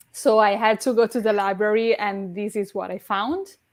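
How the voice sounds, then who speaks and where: Speaking in an Italian accent, a woman uses a medium pitch with ordinary pitch variation at a fairly slow pace. The recording is very clean, with a silent background. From Italy. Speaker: readathon co-host. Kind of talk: casual chat. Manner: halting.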